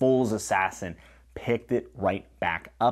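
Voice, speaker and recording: The man's pitch varies in an ordinary way, with quiet behind him. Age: 30s. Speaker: booktuber reviewing fantasy novels. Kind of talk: solo video review. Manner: casual and conversational. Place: home room. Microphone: lapel.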